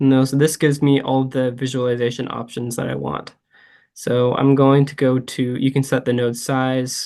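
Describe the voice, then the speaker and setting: Monotone, flat intonation marks this man's speech. His pitch sits in the medium range. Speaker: PhD student, instructor. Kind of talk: tutorial. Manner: slow, deliberate; hesitant, many fillers.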